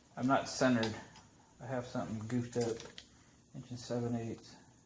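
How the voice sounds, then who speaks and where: Recorded with audible room echo and noticeable background noise, a man talks at a moderate pace in a medium-pitched voice with monotone, flat intonation. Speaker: DIY tool reviewer. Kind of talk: tutorial. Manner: mumbling.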